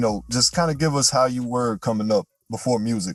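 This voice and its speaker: A man talks at a very fast pace in a medium pitch, his pitch varying in an ordinary way, with music playing in the background. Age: 20s. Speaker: podcast host. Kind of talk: interview.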